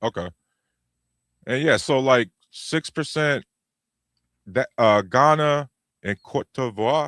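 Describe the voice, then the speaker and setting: With an American accent, a man speaks very slowly at medium pitch and ordinary pitch variation, leaving long, frequent pauses in a dry, close sound with no echo. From United States. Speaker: podcast host. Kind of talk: casual chat. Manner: halting.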